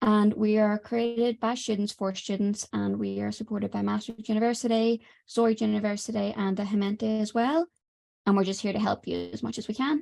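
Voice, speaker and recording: Quiet and fairly quick, a woman speaks with a fairly high pitch. Her tone is dark and mellow, and her intonation fairly even. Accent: Irish. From Ireland. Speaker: student presenter. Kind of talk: webinar presentation. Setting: online webinar.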